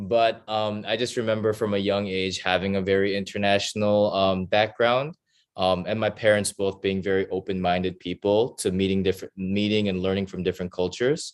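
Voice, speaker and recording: With a General American accent, a man speaks at a fairly low pitch in a monotone, flat intonation, with hardly any pauses. The background is quiet. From US West Coast (Oregon). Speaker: embassy intern, show host. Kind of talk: casual chat. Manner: hesitant, many fillers.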